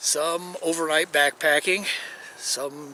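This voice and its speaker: A man with a plain, everyday voice and fairly high pitch speaks at a fairly slow pace. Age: 60s. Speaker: hiking vlogger. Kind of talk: casual vlog monologue. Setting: outdoors in a canyon.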